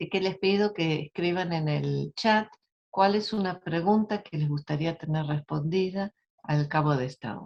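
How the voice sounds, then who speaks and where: Recorded dry and close with no echo, a woman speaks at a fairly slow pace in a fairly low voice. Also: ordinary pitch variation. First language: not Spanish (Spanish is her second language) (speaking Spanish). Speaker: academic speaker. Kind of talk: webinar lecture. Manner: halting, stumbles over words.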